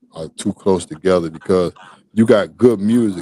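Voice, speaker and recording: Speech at a fairly quick pace comes through with a dry, close sound and no echo. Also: man. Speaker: Southern soul singer. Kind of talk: interview. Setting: studio. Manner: loud; animated.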